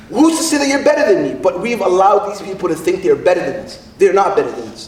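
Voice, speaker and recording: There is noticeable background noise as a man speaks in an animated tone. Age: 30s. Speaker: poet. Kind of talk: rally speech.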